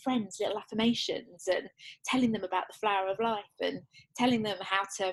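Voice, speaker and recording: At a fairly quick pace, a woman talks with an English accent. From England. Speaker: children's author and wellbeing coach. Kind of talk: interview. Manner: halting, with frequent restarts.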